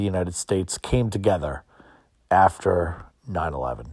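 The voice is a man's. It carries an American accent. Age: 40s. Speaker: podcast host. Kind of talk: casual monologue, personal storytelling. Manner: many fillers and repetitions.

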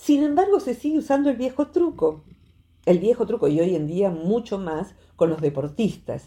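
A dark, mellow, somewhat breathy tone at a moderate pace, with very wide pitch swings. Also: woman, fairly high pitch for a woman. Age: 60s. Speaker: psychologist. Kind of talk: radio talk segment explaining psychology.

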